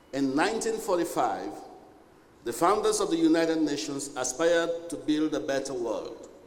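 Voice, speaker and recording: A man talks at a moderate pace. The room echoes audibly, and background noise is noticeable. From Sierra Leone. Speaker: UN official. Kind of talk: formal speech. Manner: formal.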